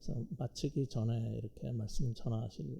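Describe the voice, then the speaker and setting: A man is speaking. His pace is fairly slow. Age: 60s. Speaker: pastor and professor. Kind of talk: sermon. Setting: church. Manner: hesitant, many fillers.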